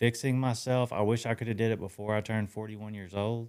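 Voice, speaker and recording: This man has a fairly low pitch and fairly even intonation, with an unremarkable speaking voice on a very clean recording over a silent background. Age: 40s. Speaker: podcast host. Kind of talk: casual interview.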